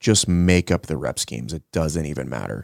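A man speaks fairly quickly in a very deep, low voice with vocal fry and ordinary pitch variation. The sound is dry and close with no echo, on a very clean recording with a silent background. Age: 40s. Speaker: gym owner and fitness coach. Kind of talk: casual chat.

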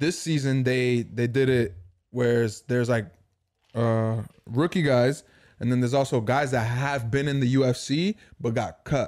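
An unremarkable speaking voice with an American accent, at a moderate pace, with ordinary pitch variation and very even loudness. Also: man, medium pitch for a man. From Dominican heritage, US. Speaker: podcast co-host. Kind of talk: casual chat.

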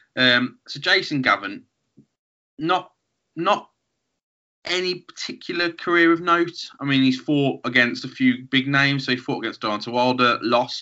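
A man with a Birmingham accent speaks fairly slowly at a fairly high pitch. His intonation is lively, broken by long, frequent pauses. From Birmingham, England. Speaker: podcast host. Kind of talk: casual chat.

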